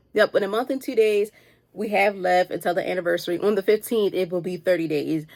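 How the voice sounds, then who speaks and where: A woman speaks very fast with a Baltimore accent, her tone animated. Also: medium pitch for a woman, ordinary pitch variation. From Baltimore, Maryland, US. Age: 20s. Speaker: podcast host. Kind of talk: casual motivational monologue.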